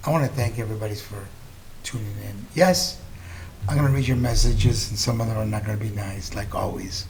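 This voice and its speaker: A fairly low-pitched man at a fairly quick pace, with audible room echo and noticeable background noise. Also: lively intonation. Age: 60s. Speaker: political commentary host. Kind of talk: political commentary monologue. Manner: animated.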